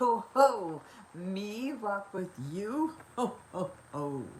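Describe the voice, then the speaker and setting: Amid clear background noise, a woman puts on a character voice at a medium pitch and a very slow pace. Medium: read story. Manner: hearty, boastful.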